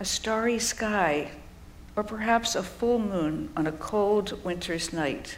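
A woman's warm, calm tone at medium pitch, with ordinary pitch variation, a very slow pace and noticeable background noise. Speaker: preacher. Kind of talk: sermon with guided visualization. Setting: church. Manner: slow, calm, soothing, inviting the congregation to close eyes; warm, gently paced, with pauses and listing images.

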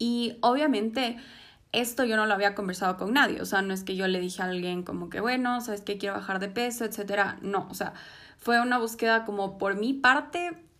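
A woman's fairly high voice shows ordinary pitch variation as she talks fairly quickly. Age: 20s. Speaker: podcast host, psychology student. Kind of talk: personal testimony monologue. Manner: hesitant fillers.

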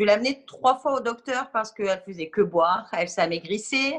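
A woman's plain, everyday voice at a medium pitch and a moderate pace. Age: 30s. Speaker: parent of a diabetic child. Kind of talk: testimony.

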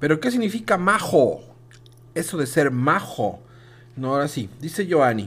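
Pausing long and often, a man talks at a fairly slow pace with a fairly high pitch and very wide pitch swings. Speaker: kindergarten teacher hosting school radio. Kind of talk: casual educational radio chat.

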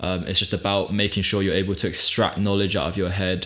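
Amid noticeable background noise, a man with a British accent speaks at a very fast pace in a very deep, low pitch. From UK. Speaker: podcast host. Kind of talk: casual chat.

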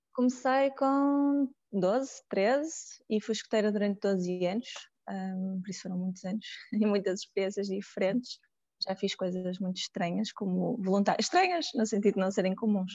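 A woman speaks at medium pitch and a moderate pace with ordinary pitch variation. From Porto, northern Portugal. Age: 30s. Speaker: psychologist and volunteer. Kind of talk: casual interview. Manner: hesitant, with filler sounds.

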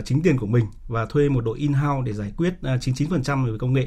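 A man's medium-pitched, somewhat breathy voice with a dark, mellow tone, ordinary pitch variation, and a fairly quick pace. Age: 40s. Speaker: startup founder. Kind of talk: radio interview.

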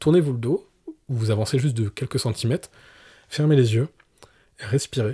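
A man with a somewhat breathy, dark, mellow tone speaks at a fairly quick pace with ordinary pitch variation, sounding dry and close with no echo on a very clean recording with a silent background. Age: 30s. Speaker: professional photographer. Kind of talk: podcast interview. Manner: hesitant, many fillers.

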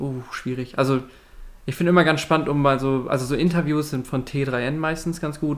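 He talks very fast at a medium pitch. His intonation is monotone and flat. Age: 20s. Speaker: university student and podcast host. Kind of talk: casual chat.

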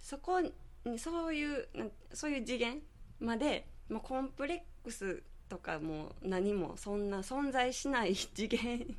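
Over audible room echo, a woman speaks at a fairly slow pace in a high voice with very wide pitch swings. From Nara Prefecture, Japan (rural Yoshino). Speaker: beauty salon owner and aroma therapist. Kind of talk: radio interview. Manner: chatty, frequent laughter.

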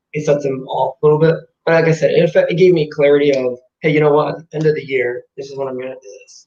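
A man speaks at a fairly quick pace in a fairly high pitch, with a somewhat breathy, dark, mellow tone. His intonation is monotone and flat. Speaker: fitness enthusiast. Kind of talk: casual chat. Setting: video call.

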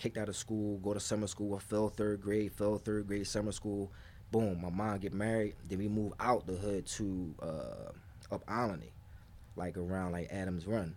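A man with a fairly low pitch speaks in a monotone, flat intonation. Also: moderate pace. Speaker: podcast co-host. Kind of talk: casual chat. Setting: dim comfortable room.

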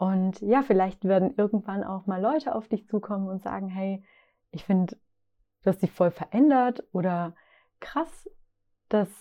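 Against a quiet background, a woman speaks at a medium pitch with a dark, mellow tone. She talks fairly slowly, with long, frequent pauses and ordinary pitch variation. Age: 30s. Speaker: podcast host, founder of a lifestyle brand. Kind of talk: solo podcast monologue on self-discovery. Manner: warm, conversational.

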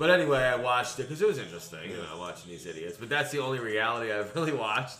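A man talks very fast at a medium pitch, with very wide pitch swings. Noticeable background noise and audible room echo fill the recording. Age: 40s. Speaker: podcast host. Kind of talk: casual chat.

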